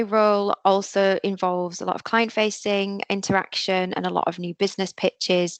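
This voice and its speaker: A woman of medium pitch with a Yorkshire accent, monotone and flat at a moderate pace, in dry, close sound with no echo. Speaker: digital marketing agency professional. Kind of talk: careers webinar presentation. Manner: casual with frequent fillers.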